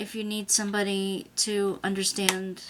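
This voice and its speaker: A woman's medium-pitched voice against noticeable background noise. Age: 60s. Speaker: craft and art journaling vlogger. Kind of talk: casual video monologue. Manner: conversational, with filler pauses.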